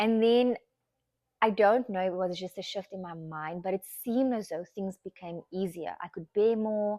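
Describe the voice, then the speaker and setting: A woman speaks at a medium pitch with fairly even intonation. The recording is very clean, its background silent. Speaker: lifestyle podcaster. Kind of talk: casual chat. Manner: fast.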